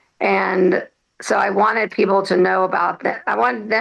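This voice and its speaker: Vocal fry runs through this woman's voice. She speaks at a fairly quick pace. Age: 60s. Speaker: author. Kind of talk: interview conversation. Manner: halting, many fillers.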